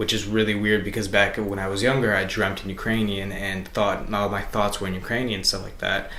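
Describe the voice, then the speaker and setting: A fairly low, flat, monotone male voice with an American accent, audible room echo and noticeable background noise. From Chicago area, US Midwest. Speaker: interviewee. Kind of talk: interview. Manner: casual, many fillers.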